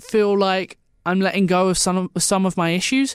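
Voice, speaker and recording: In an Essex accent, a man talks in a dry, close sound with no echo, captured in a very clean recording with a silent background. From Essex, England. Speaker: podcast host, radio student. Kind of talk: casual solo podcast talk. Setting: solo recording into a mic.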